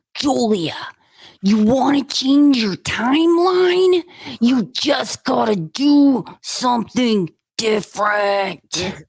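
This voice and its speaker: A female-sounding, put-on character voice pitched fairly high. It moves at a very slow pace. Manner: gruff, motivational.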